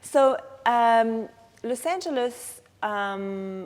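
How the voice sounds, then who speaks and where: With a French accent, a woman speaks using lively intonation. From France, Strasbourg (Alsace). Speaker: actress. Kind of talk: interview. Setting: film festival. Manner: halting.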